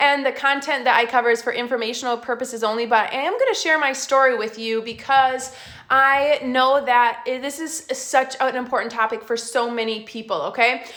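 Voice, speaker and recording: Speech moves at a fairly quick pace with hardly any pauses over noticeable background noise. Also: woman, high pitch for a woman. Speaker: essential oils class presenter. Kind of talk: live online class. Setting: Facebook live stream. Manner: fast; animated.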